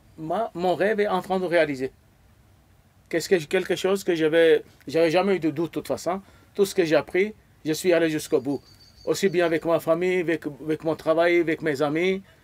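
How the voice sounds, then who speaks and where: A man talks in a high pitch at a fairly quick pace, with fairly even intonation. Long, frequent pauses break up his speech. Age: 70s. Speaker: e-commerce program member. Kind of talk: interview testimony. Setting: event venue in Marrakech. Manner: halting.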